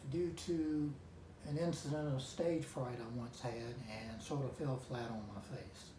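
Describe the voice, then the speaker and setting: There is audible room echo. A man with a North Carolina accent speaks with ordinary pitch variation. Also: medium pitch for a man. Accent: Southern US (North Carolina). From US South. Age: 70s. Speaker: amateur guitarist. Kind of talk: vlog talk to camera. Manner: halting, with fillers.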